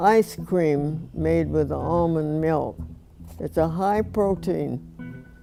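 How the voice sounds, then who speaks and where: The speaker is a woman. Music sits behind her voice. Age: 80s+. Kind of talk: casual talk to camera.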